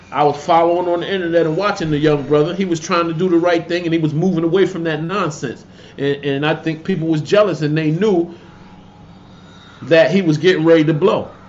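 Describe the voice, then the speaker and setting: The tone is animated, with an American accent. The pace is fairly quick. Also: man, high pitch for a man. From Connecticut, New Haven. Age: 50s. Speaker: YouTuber commentator. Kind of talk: casual livestream rant.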